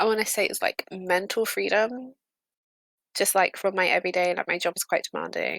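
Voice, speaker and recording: A woman speaks with a British accent at a moderate pace, her tone bright and sharp. The recording is very clean with a silent background and a dry, close sound with no echo. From Britain. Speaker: streamer. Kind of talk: casual chat. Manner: hesitant, many fillers.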